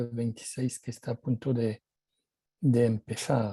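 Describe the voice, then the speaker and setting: A man with a French accent speaks at medium pitch in a dark, mellow, somewhat breathy tone. His intonation is monotone and flat, and the sound is dry and close with no echo. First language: French (speaking Spanish). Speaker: policy consultant, panelist. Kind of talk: conference presentation.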